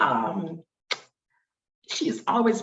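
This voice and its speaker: A woman at a medium pitch with an American accent. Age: 60s. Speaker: oral history interviewee. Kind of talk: oral history interview. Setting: video call. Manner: halting, with many fillers and restarts.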